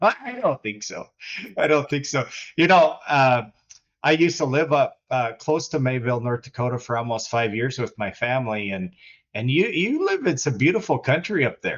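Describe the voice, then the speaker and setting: At a moderate pace, a man with a fairly high pitch and lively intonation speaks in an unremarkable speaking voice. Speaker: podcast host. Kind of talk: interview, conversational host.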